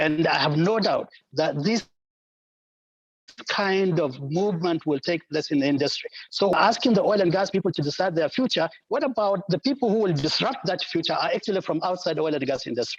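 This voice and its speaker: His high pitch carries lively intonation as the man speaks. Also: very even loudness. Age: 70s. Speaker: engineer, panel participant. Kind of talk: online panel discussion.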